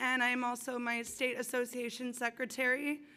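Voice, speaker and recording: A woman talks in a high, bright, sharp voice at a moderate pace. Her voice is raised and projected. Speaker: recovery house resident running for council. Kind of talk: campaign speech.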